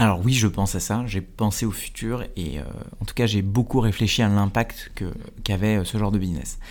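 An ordinary speaking voice is heard here. It moves at a moderate pace with ordinary pitch variation. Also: man, fairly low pitch for a man. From India, then Paris suburbs (France). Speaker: entrepreneur and YouTube creator. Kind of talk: interview conversation.

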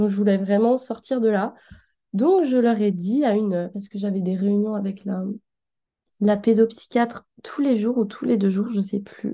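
At a fairly slow pace, a woman speaks in a medium pitch with a dark, mellow tone and ordinary pitch variation. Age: 20s. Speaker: design student sharing her experience. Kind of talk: personal testimony.

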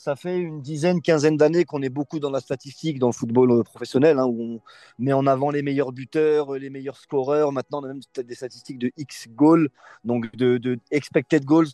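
Against a quiet background, a man with a fairly high pitch and a dark, mellow tone speaks in fairly even intonation, the sound dry and close with no echo. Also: moderate pace. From France, Lyon area (Bron). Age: 20s. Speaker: youth football coach. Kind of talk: interview.

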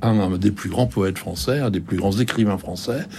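The man's voice sits fairly low, and its pitch moves in an ordinary way. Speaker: bookseller. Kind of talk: radio discussion. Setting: radio studio. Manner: halting, hesitant.

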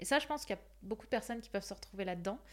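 Her voice at a medium pitch, a woman speaks with lively intonation. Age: 20s. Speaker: life coach. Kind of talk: casual chat.

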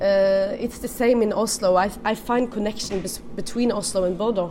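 A woman with a Norwegian accent speaks at a moderate pace. Her pitch is fairly high, and background noise is noticeable. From Norway. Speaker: food and wine writer. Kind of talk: interview.

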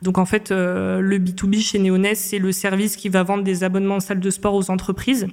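This woman talks at a medium pitch. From Réunion. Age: 20s. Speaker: marketing manager. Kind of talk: interview. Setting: studio. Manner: hesitant, many fillers.

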